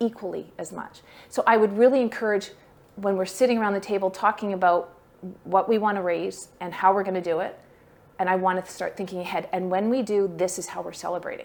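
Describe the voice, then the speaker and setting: Speaking at a fairly quick pace and a medium pitch, a woman makes big swings in loudness. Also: fairly even intonation. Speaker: fundraising workshop presenter. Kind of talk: workshop talk. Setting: workshop room with online attendees. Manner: fast.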